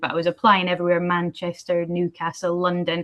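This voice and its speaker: Fairly quickly, a woman talks in a medium pitch. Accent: Edinburgh. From Scotland, Edinburgh. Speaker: postal industry executive. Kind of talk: panel discussion. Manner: casual, many fillers.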